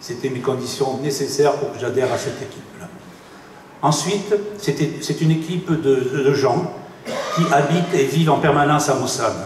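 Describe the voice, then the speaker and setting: There is audible room echo and noticeable background noise as a man speaks at a moderate pace with long, frequent pauses. His pitch is fairly high, with ordinary variation. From Bordeaux region, southwest France. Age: 60s. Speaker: retired engineer, municipal election candidate. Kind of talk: campaign speech. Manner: halting.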